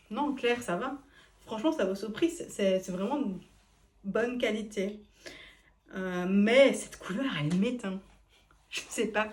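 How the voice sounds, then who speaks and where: A woman speaks at a fairly high pitch. Her pace is moderate and her pitch variation ordinary. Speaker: fashion vlogger trying on clothes. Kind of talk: casual vlog try-on review. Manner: casual, hesitant with fillers.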